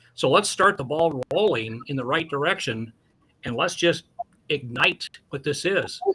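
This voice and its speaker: With a normal speaking voice, a man speaks at a fairly slow pace in a fairly high pitch with lively intonation. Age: 60s. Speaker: community youth advocate. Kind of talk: radio interview.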